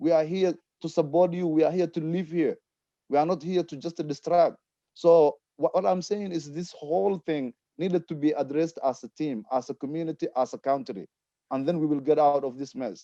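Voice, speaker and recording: A man with a non-native accent talks at a fairly quick pace in a fairly high pitch, with a dark, mellow tone and ordinary pitch variation. The sound is dry and close with no echo, against a quiet background. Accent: foreign. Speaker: community panelist. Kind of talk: panel discussion. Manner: impassioned.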